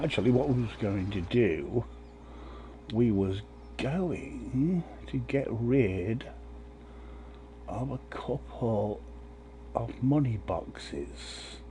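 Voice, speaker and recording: A man talks very slowly with long, frequent pauses, his fairly low voice dark and mellow with vocal fry. His pitch swings very wide, and audible room echo surrounds him. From England. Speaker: gaming streamer. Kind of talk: live gameplay commentary. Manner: casual, rambling with fillers.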